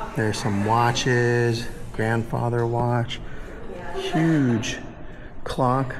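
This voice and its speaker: A man is heard over noticeable background noise. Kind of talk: casual vlog chat. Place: hall.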